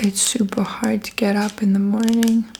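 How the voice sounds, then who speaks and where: Soft-spoken and fairly slow, the voice comes through noticeable background noise. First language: Russian. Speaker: ASMR creator. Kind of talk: ASMR haul, soft spoken. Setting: at home, block of flats.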